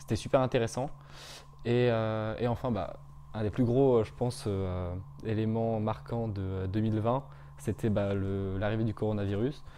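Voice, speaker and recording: Long, frequent pauses break up a fairly slow delivery. The tone is dark and mellow, with ordinary pitch variation. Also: man, fairly low pitch for a man. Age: 20s. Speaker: business school student. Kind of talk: testimonial interview. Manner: hesitant, many fillers.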